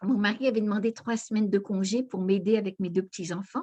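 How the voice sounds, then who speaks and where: Fairly high and somewhat breathy, a woman's dark, mellow voice with ordinary movement in pitch. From northern France (Aisne, near Saint-Quentin). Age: 80s+. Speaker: near-death experience witness, author. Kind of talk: testimony.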